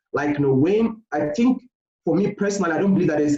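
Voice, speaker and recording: A man speaks with a Nigerian accent and a dark, mellow tone. His pitch varies in an ordinary way. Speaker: postgraduate researcher. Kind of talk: interview. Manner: hesitant, many fillers.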